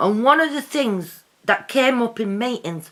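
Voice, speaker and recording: A loud woman's voice, bright and sharp in tone, with lively intonation and a fairly slow pace. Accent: English. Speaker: vlogger. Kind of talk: casual vlog monologue.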